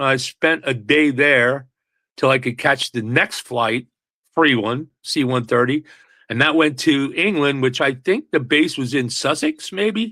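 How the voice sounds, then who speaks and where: A man with an American accent, fairly high pitch, bright, sharp tone and ordinary pitch variation, in a very clean recording with a silent background. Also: fairly slow pace. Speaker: singer-songwriter. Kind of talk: interview.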